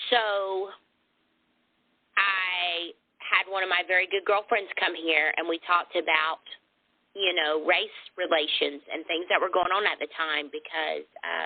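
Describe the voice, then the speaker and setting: The speaker has a Southern US accent and a fairly slow pace with fairly even intonation. Long pauses come often. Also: woman, fairly low pitch for a woman. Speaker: lingerie boutique owner. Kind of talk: interview answer.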